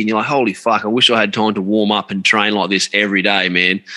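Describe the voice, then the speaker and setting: A man talks at a fairly quick pace with an Australian accent. His tone is bright and sharp, with ordinary pitch variation. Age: 30s. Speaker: podcast host. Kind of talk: casual chat. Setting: video call.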